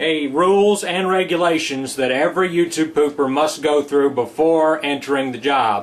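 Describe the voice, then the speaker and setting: This man has an ordinary speaking voice, pitched fairly high. He talks at a moderate pace with lively intonation. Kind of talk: mock safety orientation narration. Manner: formal, instructional.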